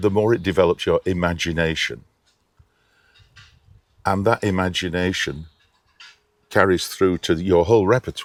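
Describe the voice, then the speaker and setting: With a northern English accent, a man speaks at a very deep, low pitch and moderate pace, fairly even in intonation, with long, frequent pauses and a dry, close sound with no echo. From Lancashire, England. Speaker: opera singer. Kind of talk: interview answer.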